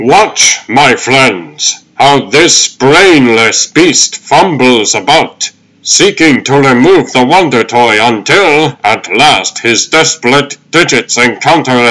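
A man puts on a sing-song character voice at medium pitch and a fairly slow pace. His loudness stays very even, with hardly any pauses. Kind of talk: comic book carnival spiel. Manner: showy, grand, sing-song sales patter.

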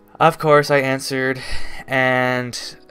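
A man talks at a very slow pace. Faint music plays in the background. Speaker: vlogger. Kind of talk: casual vlog storytelling. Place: home room.

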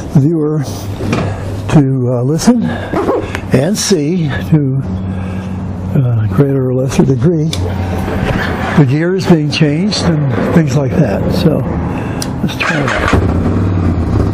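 A man at a very slow pace with long, frequent pauses, over loud background noise. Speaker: seller. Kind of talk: casual vlog chat. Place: street. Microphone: lapel.

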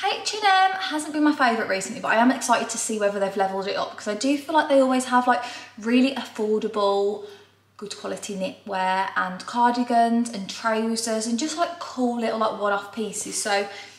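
A woman talks at a fairly quick pace with ordinary pitch variation. Her voice carries an audible room echo. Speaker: fashion vlogger. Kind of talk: casual vlog chat. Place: kitchen. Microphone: camera far.

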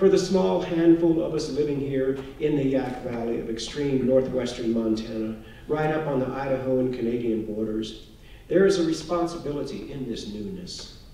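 Audible room echo surrounds a speaker with an American accent going at a moderate pace. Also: man, ordinary pitch variation. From Texas, Houston suburbs; Texas. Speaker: author; author giving a lecture. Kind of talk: lecture. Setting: stage with audience. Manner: formal. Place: hall.

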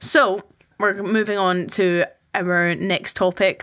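The speaker is a woman with an ordinary speaking voice. Her pitch is medium. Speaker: student podcast host. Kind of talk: casual chat.

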